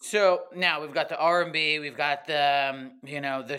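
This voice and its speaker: A man with a plain, everyday voice, fairly high pitch, fairly even intonation and a fairly slow pace, in an American accent. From US East Coast. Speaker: podcast host. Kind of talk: casual interview. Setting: remote call.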